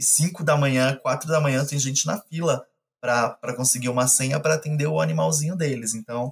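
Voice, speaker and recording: Talking at a fairly quick pace, a man with a fairly high, somewhat breathy voice keeps his loudness very even. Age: 30s. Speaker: animal rescuer. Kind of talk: casual chat.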